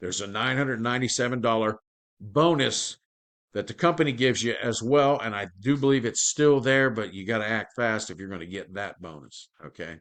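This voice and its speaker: Speaking at a moderate pace, a man with an ordinary speaking voice and medium pitch uses lively intonation. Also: quiet background. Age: 60s. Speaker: affiliate marketer, former carpenter. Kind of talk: sales pitch. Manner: casual, conversational.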